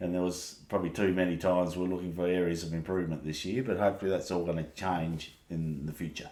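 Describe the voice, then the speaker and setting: Talking very fast with an Australian accent, a man keeps a very deep, low pitch and monotone, flat intonation. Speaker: podcast co-host. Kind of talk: casual chat. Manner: loud.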